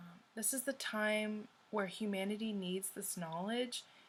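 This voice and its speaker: A woman's somewhat breathy voice at a medium pitch moves at a very slow pace. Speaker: tarot reader. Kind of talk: spiritual monologue to viewers. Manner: filler-heavy, many ums.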